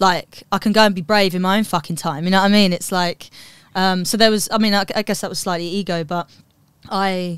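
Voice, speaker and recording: A woman with a British accent at a medium pitch, talking at a fairly quick pace in a very clean recording with a silent background. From London, England. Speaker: comedian. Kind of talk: casual chat. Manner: animated.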